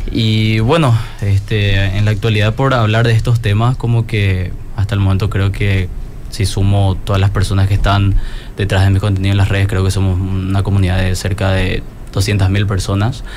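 Through noticeable background noise and audible room echo, a man talks at a moderate pace with a fairly low pitch, monotone, flat intonation and very even loudness. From Paraguay. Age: 20s. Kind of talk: panel discussion.

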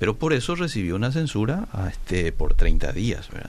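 A man speaks at a moderate pace with ordinary pitch variation. His is a plain, everyday voice. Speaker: radio host. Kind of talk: radio call-in talk show.

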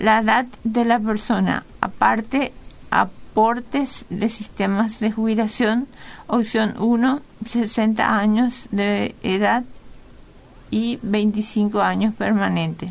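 A woman talks at a very slow pace in a monotone, flat intonation. Her loudness stays very even. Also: fairly high pitch for a woman. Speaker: financial advisor. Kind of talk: radio interview.

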